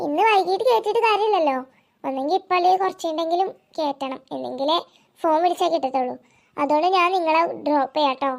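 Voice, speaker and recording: It's a cartoonish character voice at an extremely high pitch. The delivery moves at a fairly quick pace. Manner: chatty, rambling.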